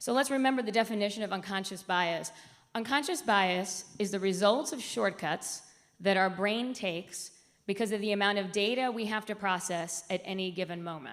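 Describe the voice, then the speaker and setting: A woman's medium-pitched voice with ordinary pitch variation and a moderate pace, on a very clean recording with a silent background. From US South (raised outside Atlanta, Georgia; born Puerto Rico). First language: Spanish. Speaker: diversity and inclusion executive, conference speaker. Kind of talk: conference presentation. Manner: animated, many fillers.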